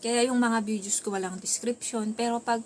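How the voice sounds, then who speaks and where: The voice sounds somewhat breathy and moves at a moderate pace. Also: woman. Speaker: vlogger. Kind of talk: casual vlog monologue. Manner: soft-spoken at times, quieter when others are home.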